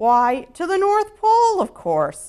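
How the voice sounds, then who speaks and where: A woman puts on a squeaky character voice, pitched extremely high and delivered fairly slowly. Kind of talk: bedtime story. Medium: read story. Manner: brisk and welcoming.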